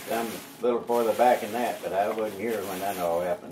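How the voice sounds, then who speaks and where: Over noticeable background noise, someone talks at a moderate pace in an Oklahoma accent. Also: man. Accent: rural Oklahoma. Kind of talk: storytelling interview answer. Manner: casual, folksy.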